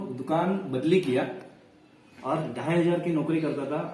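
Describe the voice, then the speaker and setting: The intonation is fairly even, with audible room echo and noticeable background noise. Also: man. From Maharashtra, India. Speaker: direct-selling business promoter. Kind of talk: sales pitch.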